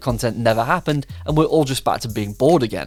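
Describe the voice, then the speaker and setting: A man with an English accent and a medium-pitched voice speaks at a very fast pace. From England. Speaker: gaming YouTuber. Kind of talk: video commentary.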